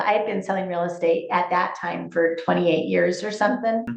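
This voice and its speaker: A woman at a moderate pace, with audible room echo. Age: 60s. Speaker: real estate agent. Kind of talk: interview.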